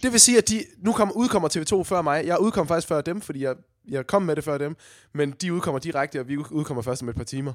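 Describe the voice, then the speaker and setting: A man talks at a fairly quick pace in an ordinary speaking voice. His pitch is fairly high, and his intonation is lively. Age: 20s. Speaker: podcast host, radio presenter. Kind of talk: casual chat. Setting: recording from home.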